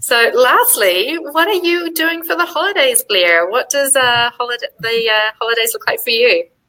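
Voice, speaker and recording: Raised and projected, a woman's high-pitched voice swings very widely in pitch, its tone bright and sharp, with a slight New Zealand accent. She keeps a moderate pace with hardly any pauses. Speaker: software executive. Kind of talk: live web chat.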